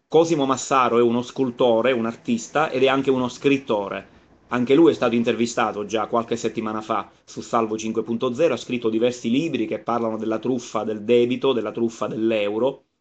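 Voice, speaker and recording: A man's fairly quick, fairly even-toned delivery. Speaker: web show host. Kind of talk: casual vlog chat. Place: home room. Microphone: phone near.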